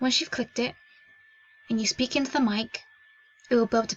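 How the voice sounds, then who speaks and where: A woman with a fairly high pitch at a fairly quick pace. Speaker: tech tutorial youtuber. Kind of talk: tutorial.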